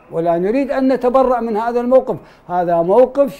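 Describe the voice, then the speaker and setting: His voice carries a dark, mellow tone. The man talks at a moderate pace, his intonation lively. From Iraq. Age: 60s. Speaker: political analyst, head of research center; TV guest. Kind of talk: TV panel discussion. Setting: studio. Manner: formal. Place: studio. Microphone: lapel.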